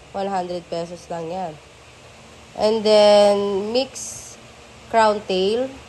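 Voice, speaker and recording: A woman talks at a very slow pace, her fairly high pitch carrying fairly even intonation. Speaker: betta fish seller vlogger. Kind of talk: casual vlog narration. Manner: casual, chatty.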